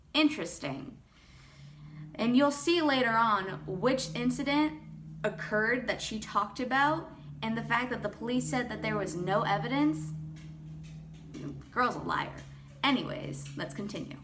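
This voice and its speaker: A woman of medium pitch speaks at a moderate pace with very wide pitch swings and long, frequent pauses. Noticeable background noise and audible room echo surround her voice. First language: not English. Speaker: YouTuber. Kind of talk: casual commentary; reading aloud. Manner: rambling, informal.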